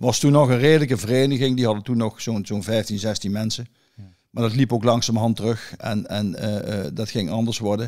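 Fairly quick and with fairly even intonation, a man speaks at medium pitch on a very clean recording with a silent background. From Netherlands, Erlecom (Gelderland). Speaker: pigeon fancier. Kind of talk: casual chat. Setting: at his own home. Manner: halting.

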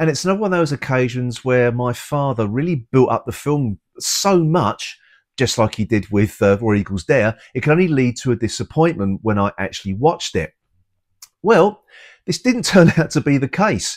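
Pitch swings very widely as a man talks at a moderate pace over a quiet background. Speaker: podcast host, film reviewer. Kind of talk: personal film commentary. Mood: nostalgic, warm. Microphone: lapel.

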